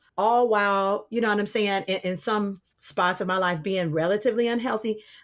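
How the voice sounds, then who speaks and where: On a very clean recording with a silent background, a woman speaks at a moderate pace with fairly even intonation. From Detroit, Michigan. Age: 30s. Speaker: opera singer. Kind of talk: podcast interview.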